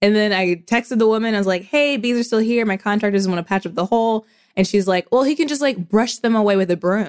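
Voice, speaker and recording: In an American accent, a woman talks at a very fast pace with a fairly high pitch, ordinary pitch variation, and a dry, close sound with no echo. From US Midwest, Indianapolis, Indiana. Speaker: podcaster. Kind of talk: casual chat.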